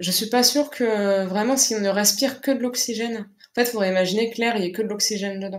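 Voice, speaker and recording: At a very fast pace, a woman speaks in a fairly high voice with fairly even intonation. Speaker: science history lecturer. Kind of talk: live Q&A answers.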